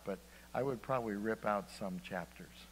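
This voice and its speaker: A man's pitch rises and falls in an ordinary way amid light background noise. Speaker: preacher. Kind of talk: sermon. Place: church.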